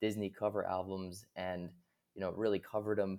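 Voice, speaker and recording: A man speaks at a fairly quick pace in an ordinary speaking voice. His pitch is fairly low, with ordinary variation. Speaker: podcast host. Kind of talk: casual interview chat.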